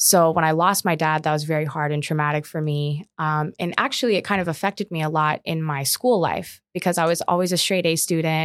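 Fairly quick and even in intonation, a woman with an American accent has an unremarkable speaking voice at a fairly low pitch, recorded in a dry, close sound with no echo. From Omaha, Nebraska, US. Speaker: commercial real estate advisor. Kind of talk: casual interview.

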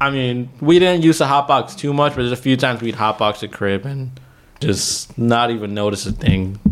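A man with a plain, everyday voice, at medium pitch with ordinary pitch variation and a moderate pace. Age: 20s. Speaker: friend of the host. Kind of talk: casual chat. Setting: studio.

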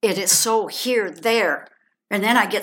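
A woman with an American accent at medium pitch, fairly slow, in a bright, sharp tone. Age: 70s. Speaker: adoptee sharing faith story. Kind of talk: testimony.

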